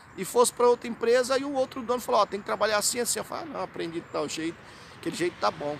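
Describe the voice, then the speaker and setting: The speech moves at a very fast pace with lively intonation over noticeable background noise. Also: man. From Brazil. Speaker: hypnotherapy and self-help vlogger. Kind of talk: informal educational vlog talk. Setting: outdoors in a city square. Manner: conversational, many fillers and repetitions.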